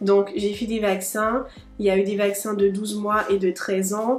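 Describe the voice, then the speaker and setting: Music plays in the background as a woman of medium pitch speaks at a fairly quick pace. Her intonation is monotone and flat. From Guadeloupe. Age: 20s. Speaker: medical student. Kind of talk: casual talk to camera.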